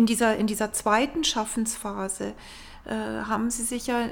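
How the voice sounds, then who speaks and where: Her intonation fairly even, a woman speaks with a fairly high pitch. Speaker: art society representative, co-host. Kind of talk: interview. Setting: gallery.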